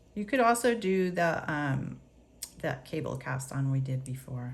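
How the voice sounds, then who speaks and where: A woman's voice with audible room echo. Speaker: knitting teacher. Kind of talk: tutorial.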